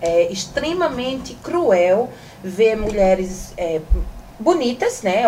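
Lively intonation in a woman's fairly high voice, with noticeable background noise behind it. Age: 40s. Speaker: sexologist and influencer. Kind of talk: casual interview chat.

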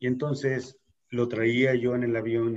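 At medium pitch, a man speaks with an ordinary speaking voice. He keeps a fairly slow pace. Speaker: podcast host. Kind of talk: casual chat.

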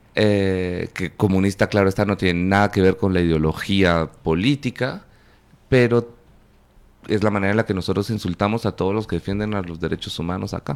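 An ordinary speaking voice from a man, fairly low in pitch, at a fairly quick pace. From Guatemala, Panajachel. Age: 40s. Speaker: filmmaker. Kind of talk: interview.

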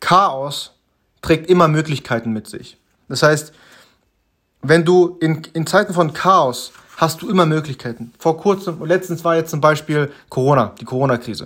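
With ordinary pitch variation, a man speaks at a fairly slow pace in a fairly high pitch. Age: 20s. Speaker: self-improvement podcaster. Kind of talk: solo motivational monologue. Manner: halting, many fillers.

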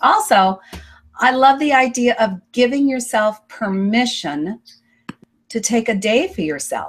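A woman talks with fairly high pitch and lively intonation. Hers is an ordinary speaking voice. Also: fairly slow pace. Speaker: online show host. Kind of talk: interview. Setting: video call.

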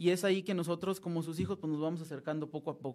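Fairly even intonation from a man pitched high. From Mexico, Durango. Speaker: seminarian, former lay missionary. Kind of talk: interview testimony. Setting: studio, live broadcast.

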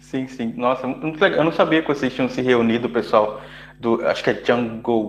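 A man speaks at a moderate pace in a medium-pitched voice. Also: ordinary pitch variation. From Brazil. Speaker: podcast host, software developer. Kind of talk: interview conversation.

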